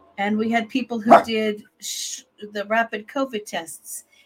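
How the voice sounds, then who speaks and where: Somewhat breathy and fairly high in pitch, a woman speaks at a fairly slow pace. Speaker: grief therapist and podcast co-host. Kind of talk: casual chat. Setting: live recording.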